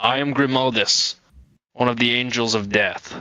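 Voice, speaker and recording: A man puts on a character voice at medium pitch and a moderate pace. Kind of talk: grim-dark heroic drama. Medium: actual play. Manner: formal, stern.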